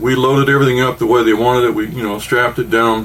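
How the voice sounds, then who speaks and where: Speaking fairly quickly, a man uses a medium pitch with ordinary pitch variation. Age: 60s. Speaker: podcast co-host. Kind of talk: casual chat. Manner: animated.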